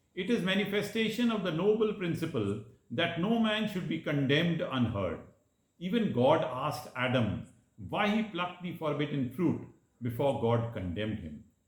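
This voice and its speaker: Very wide pitch swings from a man with a fairly high voice, plus audible room echo. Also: moderate pace. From India, Madhya Pradesh (Jabalpur). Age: 60s. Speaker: lawyer. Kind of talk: prepared speech. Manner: formal.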